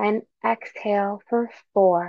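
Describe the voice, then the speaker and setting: This woman's voice has a calm, soothing tone. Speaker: meditation guide. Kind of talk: guided meditation. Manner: slow, calm, soothing; gentle, unhurried, with long pauses.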